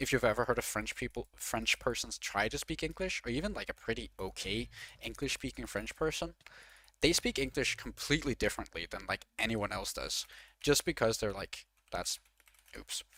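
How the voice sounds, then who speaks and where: Recorded dry and close with no echo, a man speaks at a moderate pace. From Denmark. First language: Danish. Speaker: video game streamer. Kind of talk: casual live-stream chat. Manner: filler-heavy, frequent 'like'. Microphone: worse than usual, secondary setup mic.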